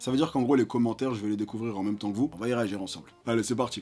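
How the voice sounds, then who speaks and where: A man is speaking. His pace is very fast. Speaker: fitness youtuber. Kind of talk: casual reaction video. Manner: soft-spoken.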